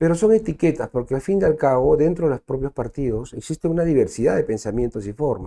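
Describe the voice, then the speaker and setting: Very fast and with hardly any pauses, a man speaks with lively intonation and a dark, mellow tone. The sound is dry and close with no echo over a quiet background. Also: fairly high pitch for a man. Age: 60s. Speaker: former congressional official and senate candidate. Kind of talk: interview.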